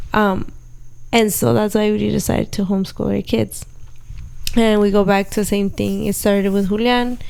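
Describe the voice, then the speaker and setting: A woman with a Spanish accent, medium pitch and fairly even intonation, at a moderate pace with very even loudness and long, frequent pauses. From Southern California (Orange County). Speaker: podcast host, homeschooling mother. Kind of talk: casual chat.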